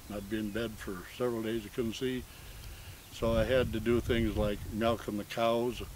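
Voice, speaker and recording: In a room with audible echo, a man with an American accent speaks at medium pitch and a moderate pace in a flat monotone. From Montana, US. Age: 70s. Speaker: retired rancher recounting his life. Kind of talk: oral history interview. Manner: halting, many fillers.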